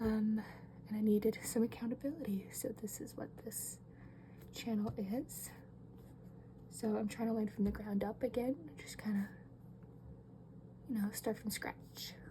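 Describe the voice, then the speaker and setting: Over noticeable background noise, a soft-spoken woman talks at a fairly slow pace in a calm, relaxed tone. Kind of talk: casual talk to camera while drawing.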